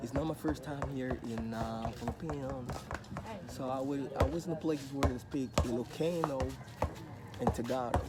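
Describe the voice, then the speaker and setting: Against noticeable background noise, a man speaks in a relaxed tone at a moderate pace, with long, frequent pauses. His pitch is medium, with ordinary variation. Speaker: travel vlogger. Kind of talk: casual vlog talk to camera. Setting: outdoors in a neighborhood.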